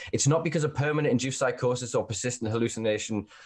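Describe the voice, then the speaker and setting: Speaking very fast, a man's somewhat breathy voice moves with ordinary pitch variation. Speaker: podcast host. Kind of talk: casual chat. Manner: animated.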